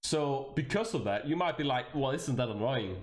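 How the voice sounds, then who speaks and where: A man with a Danish accent speaks in an animated tone with lively intonation at medium pitch. His voice is somewhat breathy, with audible room echo. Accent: Danish accent, noticeable. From Denmark. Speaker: VTuber streamer. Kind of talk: casual livestream chat.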